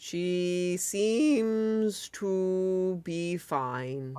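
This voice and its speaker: A put-on character voice at a middle pitch. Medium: actual play. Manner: dry, deadpan.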